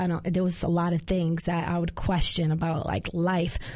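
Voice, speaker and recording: Someone with an American accent speaks at a moderate pace in a dark, mellow tone. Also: woman. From Queens, New York City. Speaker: gospel singer. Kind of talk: casual interview chat. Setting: studio.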